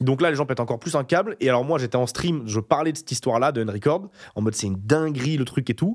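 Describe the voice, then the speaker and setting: In a very clean recording with a silent background, a man at medium pitch talks very fast in an animated tone with lively intonation. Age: 20s. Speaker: YouTuber. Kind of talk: casual chat.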